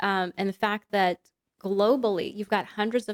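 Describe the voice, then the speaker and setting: A plain, everyday voice from a woman, medium in pitch, with fairly even intonation, a fairly quick pace and a dry, close sound with no echo. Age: 40s. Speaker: columnist and broadcaster. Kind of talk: interview.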